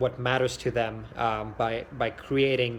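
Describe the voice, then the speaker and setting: At a fairly slow pace, a man speaks in a somewhat breathy voice at a medium pitch with monotone, flat intonation. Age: 20s. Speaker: architecture student and clothing entrepreneur. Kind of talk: video application pitch. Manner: halting, many fillers and restarts.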